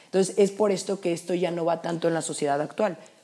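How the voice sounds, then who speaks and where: Very fast speech from a woman, medium in pitch, with a dark, mellow tone and fairly even intonation. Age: 20s. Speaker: podcast co-host, university student. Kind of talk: casual chat.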